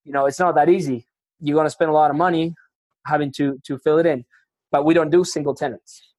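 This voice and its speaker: Speaking at a very fast pace but with long, frequent pauses, a man with a Spanish accent uses a fairly high pitch and fairly even intonation in a dry, close sound with no echo. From Argentina. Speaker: retail real estate investor. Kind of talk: casual interview conversation. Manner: casual, profane, filler-heavy.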